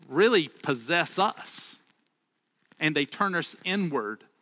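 Very slow and high-pitched, a man with a Southern US accent speaks in a bright, sharp tone with very wide pitch swings and a dry, close sound with no echo. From Alabama. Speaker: pastor. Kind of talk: sermon. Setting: church, livestreamed online.

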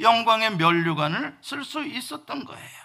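A man's raised, projected voice with lively intonation and a bright, sharp tone, on a very clean recording with a silent background. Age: 50s. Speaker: pastor. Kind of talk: sermon.

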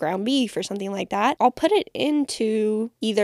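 Natural-sounding reading of a text

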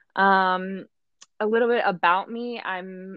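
Speaking with a Midwestern American accent, a woman keeps her intonation fairly even. Her pitch is medium. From Michigan. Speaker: advertising agency worker. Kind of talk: casual interview.

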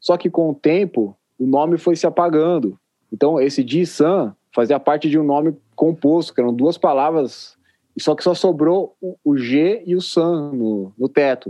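Here is a man with a plain, everyday voice and a fairly high pitch. He speaks at a fairly slow pace with ordinary pitch variation. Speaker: editor and music journalist. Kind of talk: casual interview.

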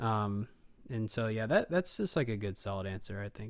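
A plain, everyday voice with an American accent at a moderate pace. The recording is very clean, with a silent background. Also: man. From Ohio, Columbus area. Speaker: political data strategist and drummer. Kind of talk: casual interview.

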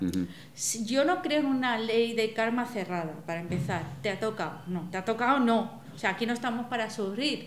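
Her fairly high voice moves with lively intonation at a moderate pace, while audible room echo and noticeable background noise surround this woman. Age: 40s. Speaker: psychologist. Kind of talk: casual chat.

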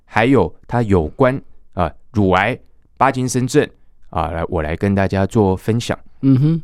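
At a fairly slow pace and medium pitch, a man speaks on a very clean recording with a silent background. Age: 30s. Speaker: Nordic walking instructor and association chairman. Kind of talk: interview.

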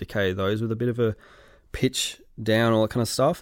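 The speaker is a man with an Australian accent. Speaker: sound effects editor. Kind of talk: interview. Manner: animated.

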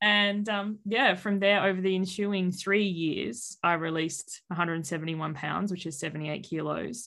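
A woman with an Australian accent speaks very slowly. Her voice sits at a medium pitch. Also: ordinary pitch variation, hardly any pauses. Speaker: weight-loss coach. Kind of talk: casual interview.

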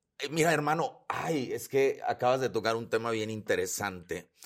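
Speaking at a fairly slow pace, a man with a Mexican accent shows vocal fry. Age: 40s. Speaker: holistic psychotherapist and speaker. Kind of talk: casual interview conversation.

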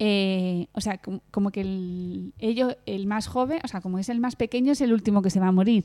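A woman's dark, mellow tone at a moderate pace. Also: medium pitch for a woman, ordinary pitch variation, hardly any pauses. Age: 30s. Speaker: podcast co-host. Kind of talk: casual chat.

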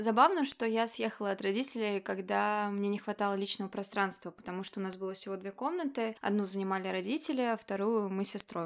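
A woman's medium-pitched, fairly quick delivery in a plain, everyday voice. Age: 20s. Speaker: podcast host. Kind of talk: casual chat. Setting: call.

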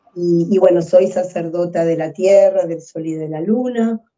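A woman speaks at a very slow pace. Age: 60s. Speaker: psychologist and ceremony leader. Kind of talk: interview conversation.

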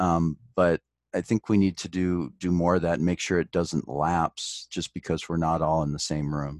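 With an American accent, a man speaks at a moderate pace in a very deep, low pitch with fairly even intonation, the sound dry and close with no echo on a very clean recording with a silent background. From US Midwest, Detroit area. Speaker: actuarial consultant and adjunct professor. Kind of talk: interview.

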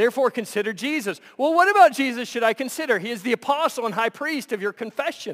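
A man talks loud and very fast with hardly any pauses, his pitch extremely high and his intonation lively with an animated tone. The recording is very clean with a silent background, dry and close with no echo. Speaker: pastor. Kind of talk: sermon. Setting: church.

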